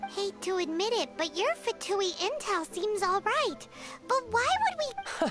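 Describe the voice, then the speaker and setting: Clear music plays behind a put-on character voice at an extremely high pitch. The delivery comes at a fairly slow pace. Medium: video game. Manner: guarded, skeptical.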